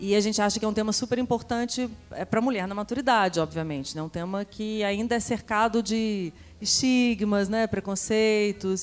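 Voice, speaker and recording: Fairly high female voice with normal pitch movement and an unhurried, mid-tempo delivery, backed by music. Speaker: podcast host. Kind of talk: live panel talk. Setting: stage with audience.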